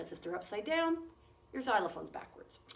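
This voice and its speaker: Over noticeable background noise and audible room echo, a woman's voice swings very widely in pitch. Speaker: music teacher. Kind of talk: tutorial. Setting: recorded video for classroom. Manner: fast.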